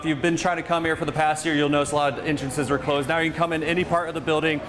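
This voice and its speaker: A man with an American accent and a fairly high pitch, over noticeable background noise. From Colorado. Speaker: TV news reporter and anchor. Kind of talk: live news shot to camera.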